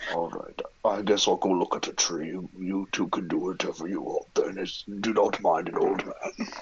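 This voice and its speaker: A man performs a put-on character voice at a moderate pace. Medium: actual play. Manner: formal, measured, deadpan.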